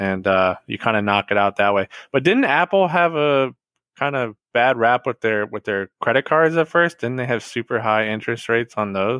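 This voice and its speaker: A man with an unremarkable speaking voice, medium pitch, lively intonation and a moderate pace. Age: 30s. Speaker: returning podcast guest. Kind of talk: casual chat.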